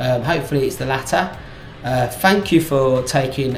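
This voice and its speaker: A man with an English Midlands accent at medium pitch and a moderate pace, amid noticeable background noise and audible room echo. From English Midlands, South Staffordshire. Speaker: vlogger. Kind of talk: casual chat to camera. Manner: halting, with many fillers and restarts.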